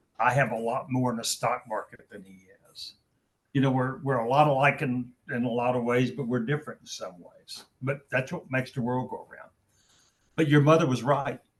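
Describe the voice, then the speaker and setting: With an American accent, a man talks at a moderate pace, his medium-pitched voice somewhat breathy and his intonation fairly even. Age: 70s. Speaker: business executive. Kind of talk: Q&A on video call.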